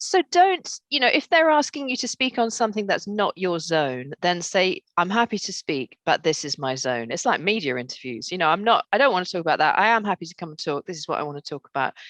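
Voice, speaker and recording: A woman at medium pitch talks at a fairly quick pace with hardly any pauses, her pitch swinging very widely and her loudness shifting in big swings. The sound is dry and close with no echo against a quiet background. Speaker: voice coach and speaker. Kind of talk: interview. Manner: warm, relaxed.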